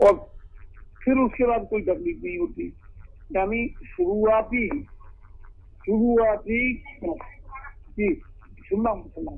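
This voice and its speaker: Lively intonation broken by long, frequent pauses, with noticeable background noise. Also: man, extremely high pitch for a man. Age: 60s. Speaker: caller, lawyer. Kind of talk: call-in question.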